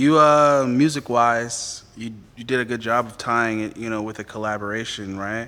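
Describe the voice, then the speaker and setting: Speaking at a moderate pace, a man with a medium-pitched, bright, sharp tone keeps his intonation fairly even while his loudness swings widely. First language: not English. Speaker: interview host. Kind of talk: casual interview chat.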